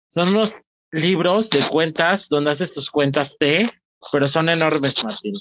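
Speaking at a moderate pace with ordinary pitch variation, a man with a Mexican accent sounds dry and close, with no echo. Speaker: podcast co-host and stand-up comedian. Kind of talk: casual chat.

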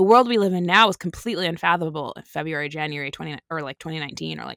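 On a very clean recording with a silent background and a dry, close sound with no echo, a woman with a very deep, low pitch speaks very fast in a bright, sharp tone with vocal fry and ordinary pitch variation. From Canada. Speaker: antiracism educator and writer. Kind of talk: interview conversation.

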